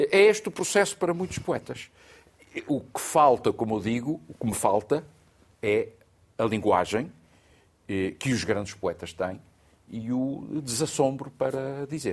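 A medium-pitched man at a fairly slow pace, very wide pitch swings and long, frequent pauses throughout. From Portugal, Azores (Terceira island). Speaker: literature professor and essayist. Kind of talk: studio panel discussion. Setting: studio.

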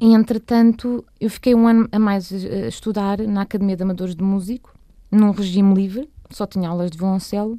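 A woman speaks at a fairly quick pace and medium pitch. Her tone is dark and mellow, her intonation fairly even. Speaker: cellist and singer. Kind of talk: radio interview.

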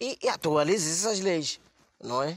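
At a fairly slow pace, a man with a fairly high pitch talks with ordinary pitch variation. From Mozambique. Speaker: comedian. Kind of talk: comedy monologue. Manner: halting.

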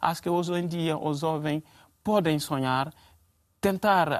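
Captured in a very clean recording with a silent background, a man with a high pitch speaks at a fairly slow pace with ordinary pitch variation. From Guinea (Conakry). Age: 20s. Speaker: refugee. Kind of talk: panel discussion. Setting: TV studio. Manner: halting.

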